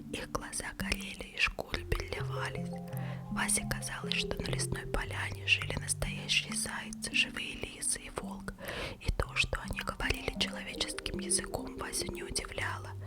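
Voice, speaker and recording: Whispering at a moderate pace comes over music in the background. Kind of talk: read story. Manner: whispered.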